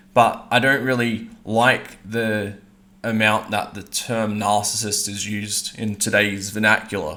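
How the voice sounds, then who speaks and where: Here a man speaks at a fairly low pitch in a bright, sharp tone. His intonation is monotone and flat. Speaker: online commentator. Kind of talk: monologue.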